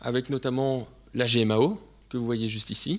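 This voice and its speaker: With a Belgian accent, a man speaks on a very clean recording with a silent background. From Belgium. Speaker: sales representative presenting technology. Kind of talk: technical presentation to students. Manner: hesitant with frequent fillers.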